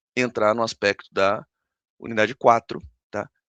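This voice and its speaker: A man with a fairly low pitch and a bright, sharp tone speaks at a fairly slow pace, with a dry, close sound with no echo and a quiet background. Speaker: university lecturer. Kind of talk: online lecture. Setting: recorded live stream with screen share.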